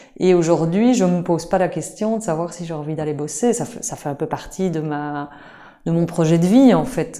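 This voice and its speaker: A woman's fairly low, dark, mellow voice at a moderate pace with ordinary pitch variation. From Belgium, Liège. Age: 40s. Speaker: supermarket co-founder. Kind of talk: interview. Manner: halting, with frequent repetitions.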